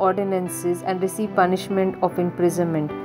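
Over music in the background, a woman talks at a moderate pace with fairly even intonation. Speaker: narrator. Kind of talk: narrated biography lecture.

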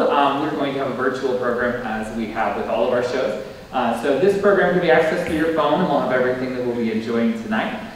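A man at a very fast pace with hardly any pauses, light background noise and strong room echo. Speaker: theatre director hosting event. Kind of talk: welcome speech. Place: stage.

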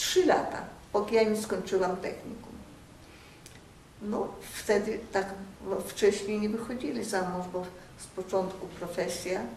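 A woman speaks at a fairly slow pace with fairly even intonation and long, frequent pauses, her voice carrying audible room echo over light background noise. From Białystok, Poland. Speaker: oral history interviewee. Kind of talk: oral history interview answer. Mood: warm, nostalgic. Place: home room.

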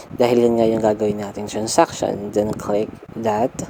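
The speaker is a man. There is noticeable background noise. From Philippines, Nueva Ecija (Cabanatuan). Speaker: YouTuber and licensed teacher. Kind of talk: vlog tutorial.

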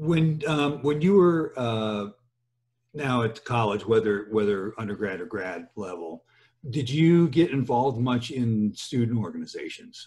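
Somewhat breathy and fairly slow, a man speaks with lively intonation over a quiet background. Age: 60s. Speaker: podcast host, engineering professor; podcast host. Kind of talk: casual interview; interview conversation. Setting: home office. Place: office. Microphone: webcam.

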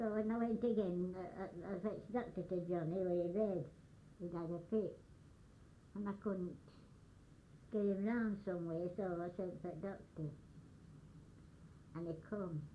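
A woman's medium-pitched voice with a dark, mellow tone and fairly even intonation, at a moderate pace with long, frequent pauses and audible room echo. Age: 80s+. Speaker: elderly storyteller. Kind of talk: oral history storytelling.

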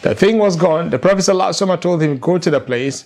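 The intonation here is lively. It belongs to a man whose pitch sits high. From Nigeria. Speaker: Islamic scholar and lecturer. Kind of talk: religious lecture. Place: home room. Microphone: lapel.

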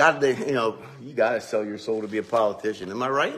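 A man is speaking. His pace is moderate. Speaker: pastor. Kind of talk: casual devotional talk. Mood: chatty, earnest. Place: church. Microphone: phone near.

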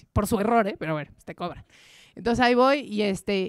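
A woman at a very fast pace, animated in tone, with lively intonation, a quiet background and a dry sound with no echo. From Mexico. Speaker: journalist and language adviser giving a talk; journalist. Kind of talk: talk to a live audience. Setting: stage with audience. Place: stage. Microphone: handheld.

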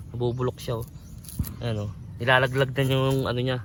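At a very fast pace, a man talks. His pitch sits in the medium range. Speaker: farmer and video blogger. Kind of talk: farm vlog tutorial. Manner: casual, halting with frequent fillers.

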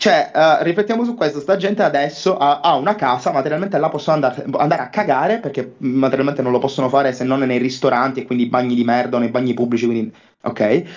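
A man talks at a very fast pace with a fairly high pitch. His intonation is lively. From Palermo, Sicily; Sicily. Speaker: fan calling in; streamer. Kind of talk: casual debate. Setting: voice call. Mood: complaining, frustrated. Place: home room.

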